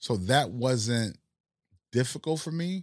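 A man speaks with a Northeastern US accent and very wide pitch swings. The recording is very clean, with a silent background. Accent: general American Northeast. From Haiti, then US Northeast. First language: Haitian Creole. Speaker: restaurant owner and entrepreneur. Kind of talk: casual interview chat. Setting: studio.

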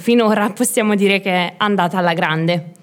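Speaking at a fairly quick clip, a woman has a plain, everyday voice, medium in pitch and with ordinary pitch variation. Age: 20s. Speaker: small business owner, herbalist shop. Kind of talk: casual interview.

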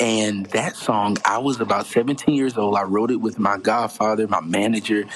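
Noticeable background noise sits behind a man's medium-pitched voice. He talks at a fairly slow pace. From US South, South Carolina, near Charleston. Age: 20s. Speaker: gospel singer. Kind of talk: interview, casual chat.

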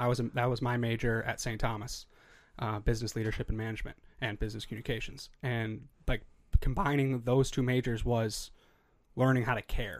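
The speaker moves at a fairly quick pace in a monotone, flat intonation. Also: man, medium pitch for a man. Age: 20s. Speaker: podcast co-host. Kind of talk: casual interview chat.

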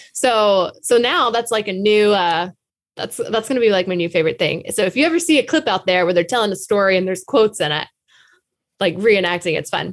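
The recording is very clean, with a silent background. An unremarkable speaking voice moves fairly quickly with lively intonation. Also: woman, medium pitch for a woman. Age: 30s. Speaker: social media comedian and podcast co-host. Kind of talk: casual chat.

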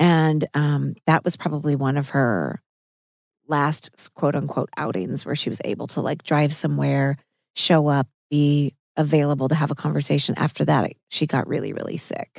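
A woman with a very deep, low pitch and an American accent, at a moderate pace with fairly even intonation, in a dry, close sound with no echo. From Missouri. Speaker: podcast host and actress. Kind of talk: casual chat over a meal.

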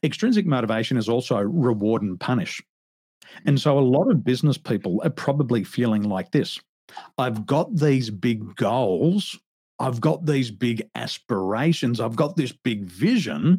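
A man with an Australian accent speaks at a medium pitch in a dark, mellow tone. His intonation is lively and his pace moderate. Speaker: business coach. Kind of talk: interview.

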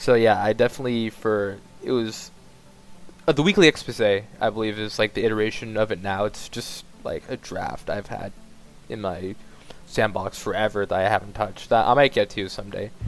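A man's fairly low, fairly even voice moves at a fairly quick pace while music plays in the background. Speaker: online fiction author. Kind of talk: casual chat.

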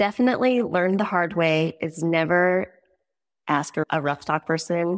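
Over a very clean recording with a silent background, the speaker uses an American accent and ordinary pitch variation. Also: woman. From Montana. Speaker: rodeo athlete's wife. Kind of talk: casual chat.

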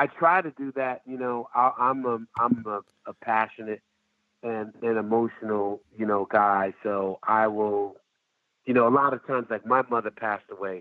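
Here is a man at medium pitch. He talks at a moderate pace. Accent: New York. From US Northeast. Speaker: festival founder and agency owner. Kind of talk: casual chat. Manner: halting.

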